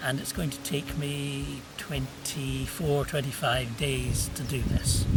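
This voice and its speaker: A man speaks at a fairly slow pace and a fairly high pitch. Noticeable background noise and audible room echo fill the recording. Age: 70s. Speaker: charity founder and patron. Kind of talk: fundraising appeal talk.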